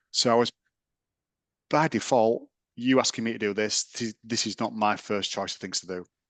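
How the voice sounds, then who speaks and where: A man with a British accent speaks at a moderate pace, fairly low in pitch, with fairly even intonation. The sound is dry and close with no echo, over a quiet background. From England. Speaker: sports science lecturer. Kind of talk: interview.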